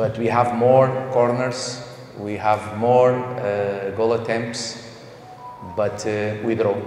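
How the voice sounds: Over audible room echo, a man talks slowly at a fairly low pitch, with a slightly mellow tone and fairly even intonation.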